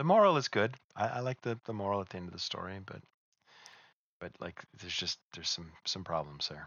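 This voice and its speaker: A man has a normal speaking voice with a fairly low pitch. He speaks at a fairly quick pace with lively intonation and big swings in loudness. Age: 40s. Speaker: podcast co-host. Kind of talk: casual chat.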